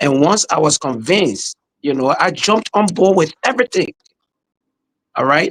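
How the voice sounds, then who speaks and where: A man with a Liberian accent and a high voice talks at a moderate pace with long, frequent pauses, his pitch swinging very widely and his loudness staying very even, in a dry, close sound with no echo. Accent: Liberian accent, kept. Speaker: pastor and podcast host. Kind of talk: podcast interview.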